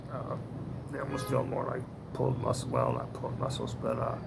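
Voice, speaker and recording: A man's voice carries audible room echo. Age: 70s. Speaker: vlogger. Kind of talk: casual monologue. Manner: halting, many fillers.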